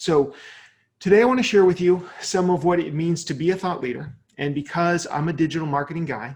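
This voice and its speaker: Using ordinary pitch variation, a man with a high pitch talks at a fairly quick pace. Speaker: digital marketing speaker. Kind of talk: webinar presentation. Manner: fast.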